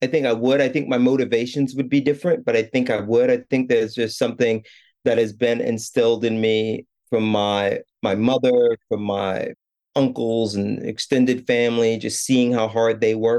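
This man speaks with a New York accent. His tone is dark and mellow. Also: medium pitch for a man, fairly even intonation, moderate pace. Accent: New York American. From New York City, Brooklyn. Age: 40s. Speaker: art curator. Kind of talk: coaching conversation.

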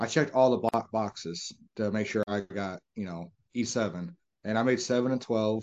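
With a normal speaking voice, this man talks at a moderate pace, his fairly low pitch showing ordinary pitch variation. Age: 30s. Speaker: podcast host. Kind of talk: casual interview chat.

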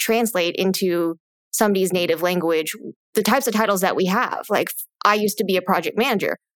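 Using a plain, everyday voice, a woman with an American accent talks at a medium pitch with fairly even intonation. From United States. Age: 30s. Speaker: podcast host and money coach. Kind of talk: casual chat.

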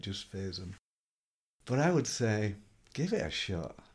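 A man speaks in a fairly low voice with a dark, mellow tone. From Yorkshire, northern England. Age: 50s. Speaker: business consultant. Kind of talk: interview answers.

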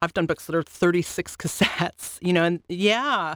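A woman with a Californian accent and a fairly low pitch is heard on a very clean recording with a silent background. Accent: American (Californian). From Los Angeles, US. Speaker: audiobook producer and entrepreneur. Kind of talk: casual interview. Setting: studio.

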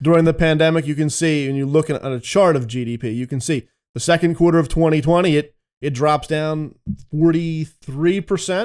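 A man with a normal speaking voice at a fairly quick pace, ordinary pitch variation and a quiet background. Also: fairly high pitch for a man. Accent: American. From Philadelphia, US. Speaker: economic analyst. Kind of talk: interview.

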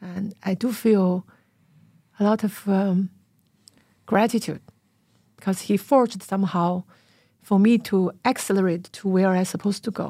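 A woman with a Chinese accent speaks at medium pitch and a moderate pace, her dark, mellow, somewhat breathy voice carrying fairly even intonation and long, frequent pauses on a very clean recording with a silent background. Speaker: podcast host and publisher. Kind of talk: interview. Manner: halting.

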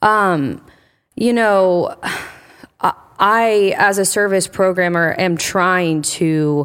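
Here a woman speaks at a very slow pace with a Midwestern American accent. Her pitch is medium. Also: ordinary pitch variation, very even loudness, very clean recording, silent background. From Indiana. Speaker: church service programming director. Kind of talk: interview.

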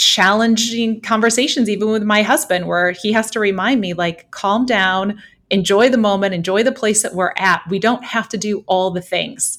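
A woman with an Upper Midwest accent speaks at a moderate pace, her medium-pitched voice following a fairly even intonation. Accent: Upper Midwest American. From southwestern Michigan (Holland). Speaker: financial advisor and podcast co-host. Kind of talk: casual chat.

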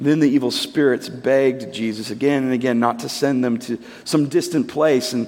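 This is an unforced reading voice. The text is simply read out.

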